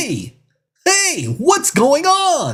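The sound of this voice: The speaker uses a put-on character voice set at a high pitch.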